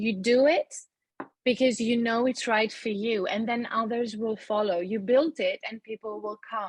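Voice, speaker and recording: The voice is somewhat breathy, with fairly even intonation. The sound is dry and close, with no echo. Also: woman. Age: 40s. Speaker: yoga teacher training graduate. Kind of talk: podcast interview.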